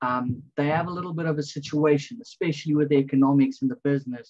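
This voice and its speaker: At a moderate pace, a man with a fairly high, somewhat breathy voice speaks with ordinary pitch variation. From South Africa. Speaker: student. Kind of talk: casual chat.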